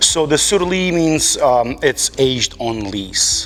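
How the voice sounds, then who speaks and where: With music in the background, a man speaks with a Moldovan accent. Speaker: winemaker. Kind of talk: casual interview. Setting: winery barrel room.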